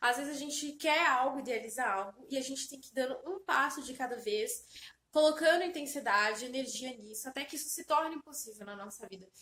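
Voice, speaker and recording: A woman with a high pitch and a bright, sharp tone speaks at a fairly quick pace in a raised, projected voice with lively intonation. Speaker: self-help vlogger. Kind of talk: motivational talk to camera. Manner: animated.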